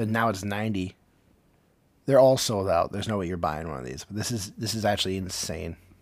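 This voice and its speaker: Speaking at a fairly quick pace yet with long, frequent pauses, a man uses a fairly low pitch, ordinary pitch variation and an animated tone. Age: 30s. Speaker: podcast host. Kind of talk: casual chat.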